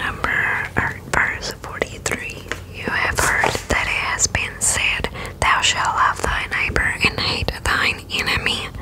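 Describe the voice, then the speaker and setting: Soft-spoken and whispering, the speaker goes at a very slow pace over noticeable background noise. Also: woman. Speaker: bible reader. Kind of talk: soft spoken bible reading and reflection. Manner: soft close-mic whisper. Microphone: studio mic.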